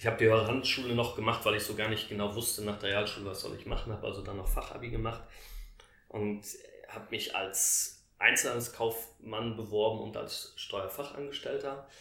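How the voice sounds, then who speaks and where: A man speaks at a fairly quick pace. The audio has an audible room echo and noticeable background noise. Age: 40s. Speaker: sales director in house building. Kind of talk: interview. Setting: in person recording at Lake Constance.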